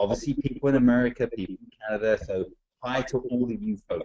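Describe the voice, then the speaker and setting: A fairly quick-talking man, in an English accent. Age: 40s. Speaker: network marketing trainer. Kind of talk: webinar presentation. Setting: online webinar. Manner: jovial.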